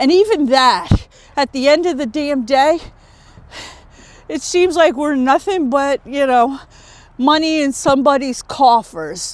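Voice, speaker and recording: Someone talks at a fairly slow pace with long, frequent pauses, and there is noticeable background noise. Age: 60s. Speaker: vlogger, corporate software tester. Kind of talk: personal monologue vlog. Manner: halting, repeats words.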